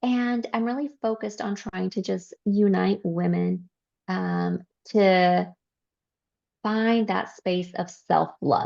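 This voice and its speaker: Very slowly, a woman speaks. The background is quiet. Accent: Spanish. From California and Mexico. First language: Spanish. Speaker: life coach. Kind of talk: podcast interview.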